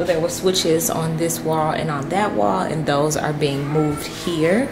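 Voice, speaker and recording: Over noticeable background noise, a woman talks at a moderate pace in a very deep, low pitch. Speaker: homeowner vlogger. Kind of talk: casual vlog chat. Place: kitchen. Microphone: phone near.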